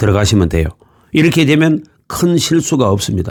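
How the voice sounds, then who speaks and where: A man's voice full of vocal fry, with very wide pitch swings. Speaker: former police investigator giving legal advice. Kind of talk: tutorial.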